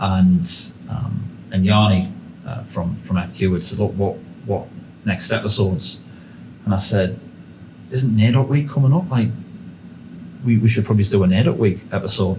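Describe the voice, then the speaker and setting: A man with a northeast English accent speaks at a moderate pace in a fairly low, dark, mellow, somewhat breathy voice with ordinary pitch variation and long, frequent pauses, with audible room echo. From northeast England. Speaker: podcast host. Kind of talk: casual interview chat.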